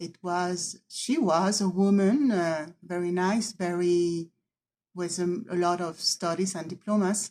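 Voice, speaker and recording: Very slowly, a woman speaks in a fairly low pitch with a dark, mellow tone and fairly even intonation. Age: 50s. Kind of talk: personal video testimony. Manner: halting, word-searching.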